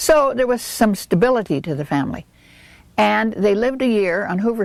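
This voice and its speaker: On a very clean recording with a silent background, a woman speaks at a moderate pace with very wide pitch swings. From Southern California, Los Angeles area. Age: 60s. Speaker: local resident interviewee. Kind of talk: oral history interview.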